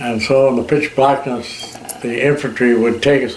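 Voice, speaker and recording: Noticeable background noise sits behind a man who speaks with fairly even intonation. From Canada. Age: old. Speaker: war veteran. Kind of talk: interview answer, recounting war memories. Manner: hesitant, with fillers.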